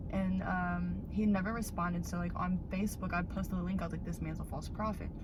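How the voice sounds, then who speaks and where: A woman speaks over noticeable background noise, with audible room echo. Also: fairly quick pace. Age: 20s. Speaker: vlogger. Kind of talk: casual chat. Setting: outdoors. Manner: animated.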